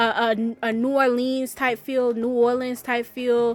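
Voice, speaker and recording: A loud, high-pitched woman's voice with an American accent. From New York, raised by southern US family. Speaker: gaming YouTuber. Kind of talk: voiceover commentary. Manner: casual, rambling with many fillers.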